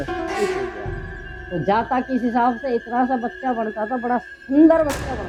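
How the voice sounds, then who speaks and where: Over music in the background, a woman talks in a high pitch with hardly any pauses and big swings in loudness. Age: 70s. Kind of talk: interview answer.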